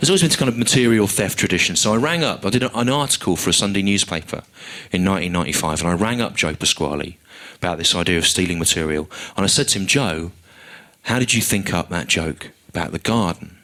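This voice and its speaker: Speaking with an English accent, a man with a very deep, low pitch and a bright, sharp tone talks at a very fast pace with lively intonation and very even loudness. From England. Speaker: stand-up comedian. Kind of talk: live stand-up routine. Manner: dry, analytical.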